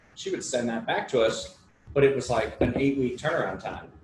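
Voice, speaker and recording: A very fast pace with audible room echo. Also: man. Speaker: real estate investor. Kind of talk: casual chat. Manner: animated.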